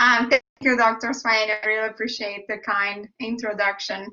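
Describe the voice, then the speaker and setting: Her pitch fairly high, a woman talks in a Brazilian Portuguese accent. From Brazil, Rio de Janeiro. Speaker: biomedical engineering professor. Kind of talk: science talk. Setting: online video event.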